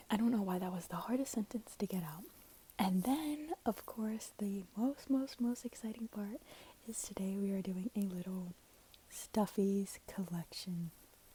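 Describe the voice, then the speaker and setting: A soft-spoken woman whispering, somewhat breathy, at a fairly slow pace. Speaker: ASMR creator. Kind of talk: soft-spoken ASMR ramble to camera. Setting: headphones used as mic, lo-fi recording. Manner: soft-spoken, whispery, lo-fi.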